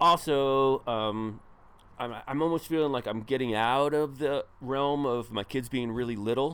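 A man's medium-pitched, unremarkable speaking voice with fairly even intonation. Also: fairly slow pace. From northern New Jersey. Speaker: ultrarunner and coach. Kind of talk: casual chat.

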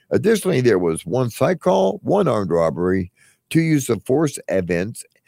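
Recorded dry and close with no echo, a man speaks in a dark, mellow tone with vocal fry and very wide pitch swings. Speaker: crime reporter. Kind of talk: casual chat.

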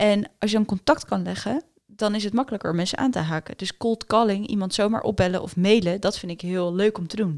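A woman with an ordinary speaking voice and medium pitch talks at a fairly quick pace with hardly any pauses and ordinary pitch variation, in a dry, close sound with no echo. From Netherlands. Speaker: doctor and entrepreneur. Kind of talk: interview.

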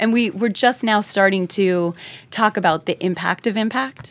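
Captured in a very clean recording against a silent background, this woman's fairly slow speech shows ordinary pitch variation. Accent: New Jersey. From New Jersey. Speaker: nonprofit founder. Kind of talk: casual interview chat.

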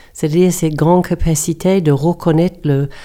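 A woman's dark, mellow voice, fairly low in pitch, with a New Zealand accent and fairly even intonation. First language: English (speaking French). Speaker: coach and yoga teacher. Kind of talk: interview. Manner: halting.

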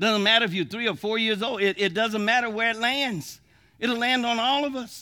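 A man's extremely high, bright and sharp voice, raised and projected, with an animated, warm tone, ordinary pitch variation and a moderate pace. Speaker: preacher. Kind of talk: sermon. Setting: church with live congregation. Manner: animated, folksy, call-and-response pulpit delivery with laughs and humor; warm, exhorting, building to a fervent prayer.

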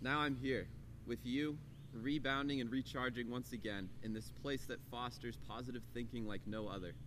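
In a room with audible echo, a man with an American accent speaks at a moderate pace with vocal fry. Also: medium pitch for a man, fairly even intonation. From US, Colorado (Boulder). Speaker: student speaker. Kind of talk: prepared talk.

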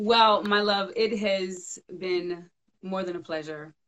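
A woman speaks at a very slow pace. Her medium-pitched voice keeps fairly even intonation. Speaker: podcast host. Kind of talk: casual interview. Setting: Instagram live video call.

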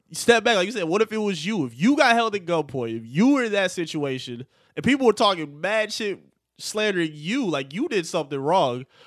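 A man's high-pitched voice with very wide pitch swings, at a fairly quick pace against a quiet background. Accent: American. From Michigan, Detroit suburbs. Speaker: podcast co-host. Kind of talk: casual chat.

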